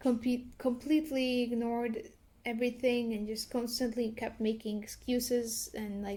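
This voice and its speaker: A woman speaks with a fairly high pitch. Her tone is dark and mellow, and her intonation stays fairly even. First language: not English. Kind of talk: commentary talk to camera. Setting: at home. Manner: slow, hesitant.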